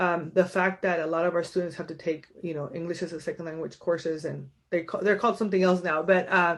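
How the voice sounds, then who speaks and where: Against a quiet background, a woman with a Spanish accent talks at a very fast pace, her fairly low voice fairly even in intonation. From San Diego, raised after birth in Tijuana. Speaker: county supervisor, local politician. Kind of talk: community meeting speech. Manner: casual, with many fillers.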